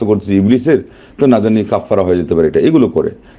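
A man speaks in a dark, mellow tone, his pitch fairly low.

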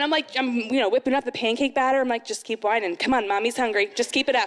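A woman talks at a very fast pace in a high voice, with hardly any pauses. Her tone is animated. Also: very even loudness. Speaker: amateur stand-up comedian. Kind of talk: first-time stand-up comedy set at a moms' night event. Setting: stage with live audience. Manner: animated, acting out mom-life scenes with sighs and self-mocking asides; chatty and rambling, heavy with 'you know' and 'like' fillers. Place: stage. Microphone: handheld.

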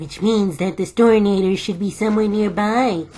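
In a put-on character voice that sounds female, the speaker talks at a moderate pace and a medium pitch. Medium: audio drama.

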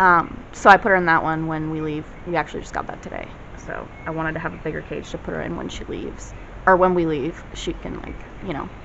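Very fast pace over light background noise. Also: woman. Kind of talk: casual vlog chat. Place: home room. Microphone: phone near.

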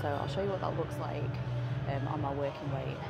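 Against music in the background, a woman speaks with ordinary pitch variation. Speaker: fitness vlogger. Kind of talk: casual vlog chat. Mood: chatty and relaxed. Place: gym. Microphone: lapel.

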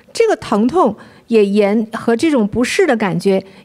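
A woman speaks in a fairly high pitch at a fairly slow pace. Her pitch swings very widely. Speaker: co-host. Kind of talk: livestream chat. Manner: animated.

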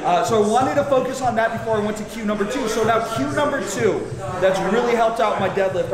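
A man rattles off his words at a very fast pace with ordinary pitch variation, with audible room echo and noticeable background noise. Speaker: lifting coach. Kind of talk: tutorial. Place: gym.

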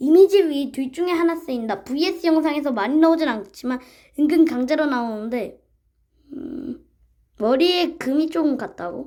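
A woman with a high pitch, a dark, mellow tone, and lively intonation. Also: moderate pace. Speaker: YouTuber explaining internet meme characters. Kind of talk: reading aloud with casual commentary. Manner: halting, stumbling over words while reading.

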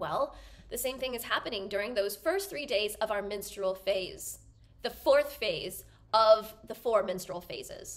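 Her pace stays fairly slow. The speaker is a woman. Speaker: wellness educator. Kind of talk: explanatory talk to camera. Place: home room.

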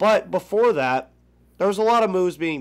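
A man talks at a moderate pace with ordinary pitch variation. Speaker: sports podcast host. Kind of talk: casual sports talk. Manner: upbeat. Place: home room. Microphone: headset.

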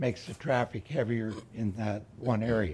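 The man's voice sounds somewhat breathy. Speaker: resident giving public comment. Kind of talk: public comment statement. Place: hall. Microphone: podium.

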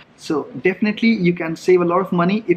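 A man speaks at a moderate pace in a high voice. There is light noise in the background. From India. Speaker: travel vlogger. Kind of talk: vlog monologue. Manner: casual, conversational. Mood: relaxed, friendly. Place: cafe. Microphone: phone near.

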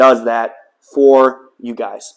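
Against a quiet background, a man is talking. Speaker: home gym reviewer. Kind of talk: product review vlog. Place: garage.

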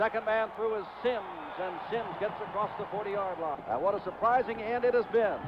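Noticeable background noise sits behind a man with a high pitch and fairly even intonation. He keeps a moderate pace with hardly any pauses. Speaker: play-by-play announcer. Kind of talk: 1970s TV sports play-by-play, live commentary on a college bowl game. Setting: stadium broadcast, TV commentary. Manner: steady, authoritative broadcaster cadence, reeling off names and numbers.

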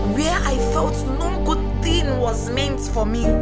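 A woman talks fairly slowly. Music can be heard behind her voice. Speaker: spoken word poet. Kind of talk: spoken word poetry performance. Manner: emotional, emphatic.

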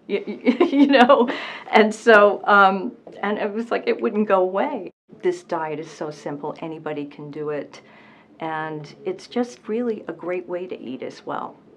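Speaking at a fairly slow pace, a woman shows very wide pitch swings and big swings in loudness, with light background noise. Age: 60s. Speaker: weight loss patient. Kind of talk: interview answer. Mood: earnest, positive. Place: office.

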